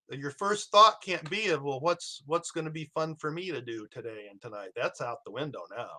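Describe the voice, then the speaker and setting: With an American accent, this man speaks at a moderate pace in a bright, sharp tone, his fairly high pitch making very wide swings, his loudness rising and falling sharply, and hardly any pauses. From US Midwest, Iowa. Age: 70s. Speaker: professor. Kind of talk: interview. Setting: podcast interview. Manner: halting, many fillers and repeats.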